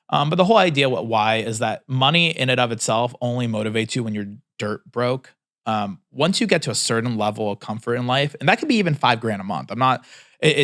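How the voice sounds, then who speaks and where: In a very clean recording with a silent background, a man with an American accent talks very fast at a medium pitch, his intonation lively. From California, US. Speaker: entrepreneur. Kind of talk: casual vlog advice talk. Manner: casual with many fillers and restarts.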